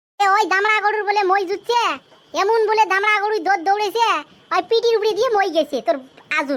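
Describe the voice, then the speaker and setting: A woman uses a cartoonish character voice at an extremely high pitch, with ordinary pitch variation, very even loudness and a moderate pace. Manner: chatty, colloquial village storyteller.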